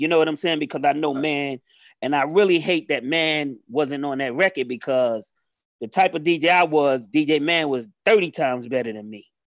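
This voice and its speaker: A man speaks in a plain, everyday voice with an American accent, fairly quick and fairly high in pitch, with ordinary pitch variation and a dry, close sound against a quiet background. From New York City, the Bronx. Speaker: rapper. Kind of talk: casual chat.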